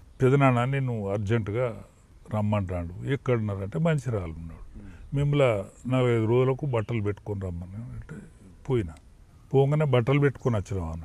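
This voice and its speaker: A man speaks at a medium pitch in a dark, mellow tone. His intonation is lively, and his loudness swings widely. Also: dry sound with no echo. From Telangana, Warangal district; Telangana. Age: 70s. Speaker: veteran politician; politician interviewee. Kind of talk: political interview. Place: garden.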